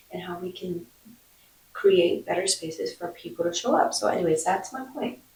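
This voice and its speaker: Here a woman speaks at a fairly quick pace. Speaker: vlogger. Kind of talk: casual vlog monologue.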